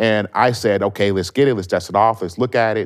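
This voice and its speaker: Over a silent background in a very clean recording, a man with an American accent and an unremarkable speaking voice talks at a fairly quick pace. His pitch is fairly low, with ordinary variation. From Las Vegas, Nevada. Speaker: city councilman. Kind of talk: radio interview. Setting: studio.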